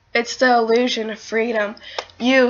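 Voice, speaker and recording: Monotone, flat intonation at a moderate pace, with noticeable background noise. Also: woman. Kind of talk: slam poetry performance.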